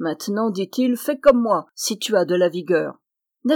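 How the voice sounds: The reading voice sounds natural, and the background stays quiet.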